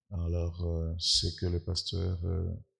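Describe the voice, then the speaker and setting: Over music in the background, a soft-spoken man with a very deep, low voice talks very slowly in a flat monotone. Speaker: guest preacher, scientist. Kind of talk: sermon. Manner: hesitant, many filler sounds.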